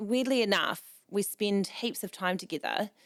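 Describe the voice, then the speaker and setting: With a New Zealand accent and ordinary pitch variation, the voice comes through on a very clean recording with a silent background. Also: woman. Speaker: events organiser and magazine founder. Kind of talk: casual chat. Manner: loud, talkative.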